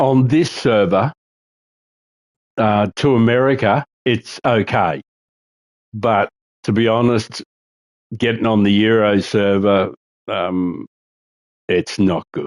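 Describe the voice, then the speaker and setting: With an Australian accent, a man speaks very slowly at a medium pitch with ordinary pitch variation and long, frequent pauses, the sound dry and close with no echo. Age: 60s. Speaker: gaming streamer. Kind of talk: casual chat. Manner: halting.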